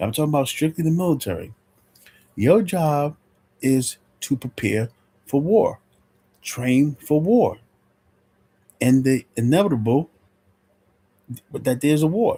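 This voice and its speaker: In a dark, mellow, somewhat breathy tone, a man with a fairly high pitch and lively intonation speaks at a fairly slow pace with long, frequent pauses, the sound dry and close with no echo. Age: 60s. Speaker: military commentator. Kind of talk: casual monologue vlog. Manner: halting, many fillers and repeats.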